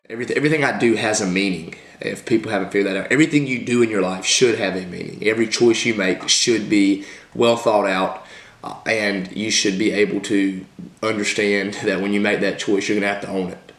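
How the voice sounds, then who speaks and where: With audible room echo, a man speaks at a fairly quick pace and a fairly low pitch, keeping his intonation fairly even. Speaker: fitness vlogger. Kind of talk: personal vlog testimony. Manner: halting, with many restarts.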